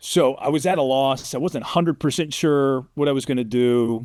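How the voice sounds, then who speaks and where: A man speaks at a medium pitch with ordinary pitch variation, in an unremarkable speaking voice. The recording is very clean, with a silent background. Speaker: sportscaster, play-by-play announcer. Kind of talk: casual interview answer, telling career story.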